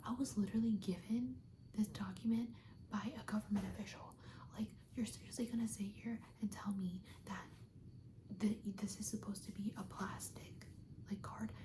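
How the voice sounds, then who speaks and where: The speaker has an American accent and a moderate pace. Long, frequent pauses break up the speech. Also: woman. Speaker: ASMR creator. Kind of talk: ASMR roleplay, soft speaking, casual chat to camera. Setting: video chat roleplay with lo-fi music in background. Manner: soft-spoken, whispering.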